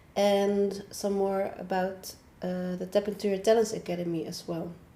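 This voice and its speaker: A woman with a Dutch accent speaks in a monotone, her intonation flat throughout. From Netherlands. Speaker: online academy founder and coach. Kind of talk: casual talk to camera. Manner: halting, many filler sounds.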